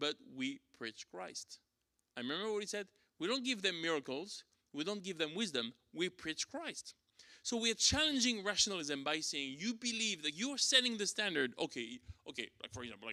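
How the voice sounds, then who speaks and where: In a French accent, this voice has a bright, sharp tone, very wide pitch swings and a moderate pace. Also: man, high pitch for a man. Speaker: church teacher. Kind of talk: lecture. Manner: halting, many fillers.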